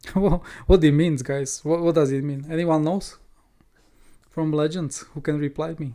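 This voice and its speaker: A man speaks with a non-native accent in a fairly high pitch and a dark, mellow tone. His speech has long, frequent pauses. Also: fairly even intonation, moderate pace. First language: not English. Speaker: crypto trading streamer. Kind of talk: educational livestream. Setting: live stream.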